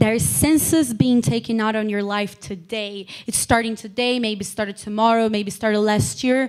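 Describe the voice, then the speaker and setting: With a non-native accent and a fairly high pitch, a woman speaks at a moderate pace with hardly any pauses, an animated tone and ordinary pitch variation. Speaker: lay preacher. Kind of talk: sermon.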